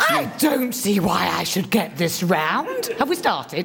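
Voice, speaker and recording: A woman uses a put-on character voice at a medium pitch with very wide pitch swings. Clear background noise is present. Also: fairly slow pace. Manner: petulant, shrill, complaining.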